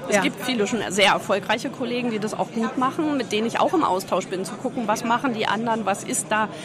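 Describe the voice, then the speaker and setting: A woman talks at a very fast pace with hardly any pauses, at a fairly high pitch with ordinary pitch variation. Crowd noise plays in the background, and room echo is audible. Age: 50s. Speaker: tax advisor and auditor. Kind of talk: interview. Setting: trade fair.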